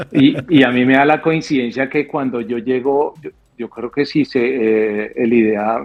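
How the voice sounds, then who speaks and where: This man speaks with a Bogotá accent, at a medium pitch and with fairly even intonation. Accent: Bogotá Colombian. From Colombia, Bogotá. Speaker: airline pilot, former air force officer. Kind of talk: podcast interview. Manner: halting, repeats words.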